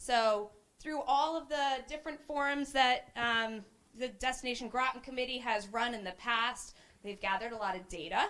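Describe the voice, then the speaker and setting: A woman talks loudly at a high pitch with ordinary pitch variation. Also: moderate pace. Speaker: committee member presenting at a business forum. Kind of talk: interactive workshop presentation.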